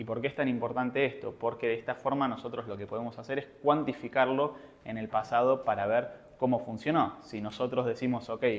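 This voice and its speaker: A man at medium pitch talks at a fairly quick pace in a flat monotone. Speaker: trading educator. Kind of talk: seminar lecture. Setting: live seminar with audience. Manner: fast.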